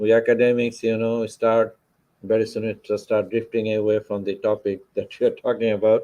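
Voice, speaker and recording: His voice, a man's at medium pitch, has a dark, mellow tone. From Bangladesh. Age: 60s. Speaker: finance professor. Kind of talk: lecture. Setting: lecture hall with audience.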